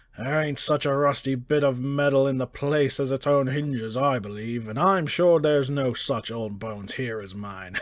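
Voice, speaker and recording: Using a put-on character voice, a man speaks at a moderate pace and medium pitch. He barely pauses. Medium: read story. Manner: sly, wheedling, dialect speech.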